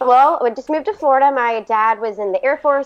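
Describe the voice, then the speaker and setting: Bubbly and animated, a woman talks at a very fast pace in a high voice. Her pitch varies in an ordinary way. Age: 20s. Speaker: podcast guest with cystic fibrosis, lung transplant recipient. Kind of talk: casual interview conversation. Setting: podcast recording. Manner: bubbly, animated.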